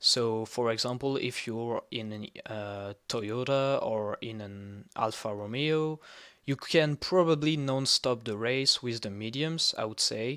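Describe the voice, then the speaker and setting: A man with a non-native accent speaks at a very slow pace and a medium pitch, his tone bright and sharp. His pitch variation is ordinary, and the recording is very clean with a silent background. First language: not English. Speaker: sim racing analyst YouTuber. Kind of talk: tutorial-style race preview. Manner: halting with fillers.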